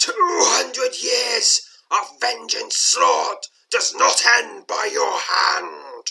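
A man's put-on character voice, croaky and raspy, shouting at an extremely high pitch and a very slow pace. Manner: menacing, vengeful.

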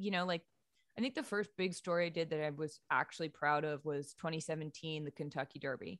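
On a very clean recording with a silent background, a woman speaks in an unremarkable speaking voice with an American accent. Her pitch is fairly low, her intonation fairly even, and her pace fairly quick. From New England (Boston area and Maine). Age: 30s. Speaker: sports journalist. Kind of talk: interview.

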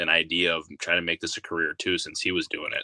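Speaking at a very fast pace, a man has a bright, sharp tone in a dry, close sound with no echo. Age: 20s. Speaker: baseball insider journalist. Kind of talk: casual chat.

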